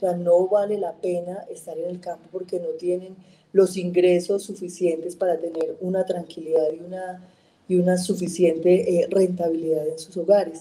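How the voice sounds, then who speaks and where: A woman speaks with a dark, mellow tone at a fairly low pitch and a moderate pace. Her intonation is monotone and flat, with big swings in loudness. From Colombia, Caldas. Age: 40s. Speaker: politician, congresswoman. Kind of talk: interview.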